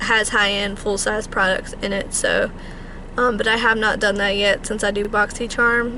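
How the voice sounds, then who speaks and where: A woman speaking at a moderate pace amid noticeable background noise. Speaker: beauty vlogger. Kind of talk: casual vlog monologue. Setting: in a car.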